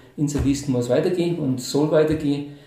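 Against noticeable background noise and audible room echo, a man speaks with a fairly high pitch. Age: 60s. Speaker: mayoral candidate, retiree. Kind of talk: interview.

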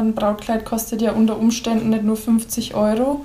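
A woman talks at a moderate speed in a fairly high pitch, noticeable background noise behind her. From Upper Franconia, Pottenstein. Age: 20s. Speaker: seamstress, bridal consultant. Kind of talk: casual interview.

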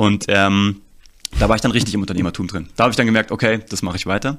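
Very fast speech with fairly even intonation on a very clean recording with a silent background. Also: man. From Germany, Kassel (northern Hesse). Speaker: storytelling and marketing consultant. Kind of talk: interview.

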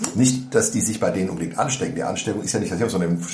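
Over noticeable background noise, a man's voice carries an audible room echo. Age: 50s. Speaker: podcast co-host. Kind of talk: casual chat. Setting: informal setting over coffee, not a studio.

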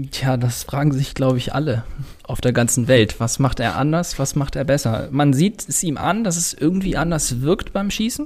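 A man's fairly high, somewhat breathy voice. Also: moderate pace. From northern Germany, Baltic coast. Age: 20s. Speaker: sport shooter. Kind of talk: interview. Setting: podcast room in a gym.

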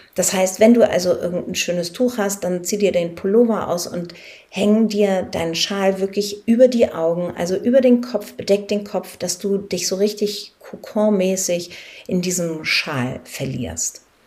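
Amid noticeable background noise, a woman talks fairly slowly at a medium pitch with ordinary pitch variation. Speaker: life coach and podcast host. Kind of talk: guided meditation. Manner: reassuring and encouraging, light-hearted.

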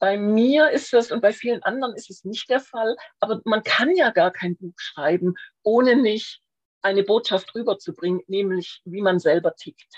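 A woman with a normal speaking voice talks at a fairly high pitch and moderate pace, her intonation lively and her loudness swinging widely, in a dry, close sound with no echo. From Swabia, Schwäbisch Hall. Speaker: crime novelist. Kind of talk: casual interview.

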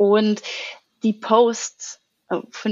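The speaker is a woman with a fairly high pitch. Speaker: English and strengths coach. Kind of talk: casual interview.

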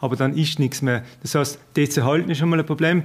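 Talking at a very fast pace, a man has a fairly high pitch. His intonation is monotone and flat. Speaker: village head. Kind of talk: interview.

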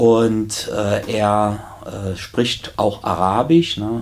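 A man's fairly low voice with fairly even intonation, under noticeable background noise. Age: 50s. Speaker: prison chaplain and deacon. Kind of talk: casual interview.

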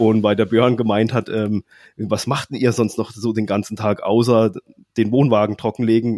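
On a very clean recording with a silent background and a dry, close sound with no echo, a man of medium pitch talks at a moderate pace in a dark, mellow tone. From southern Baden, Germany. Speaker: caravan blogger. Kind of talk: casual chat.

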